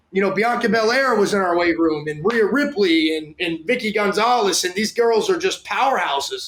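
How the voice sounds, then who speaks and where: Loud and high-pitched, a man speaks at a moderate pace with hardly any pauses. His intonation is lively. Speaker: strength and conditioning coach. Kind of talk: interview. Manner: animated.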